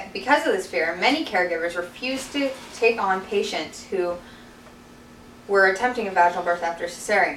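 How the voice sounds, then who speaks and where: A woman speaks at a fairly quick pace in a medium pitch, with noticeable background noise behind her. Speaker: birth doula; college student. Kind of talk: class informative speech. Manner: hesitant, stammering.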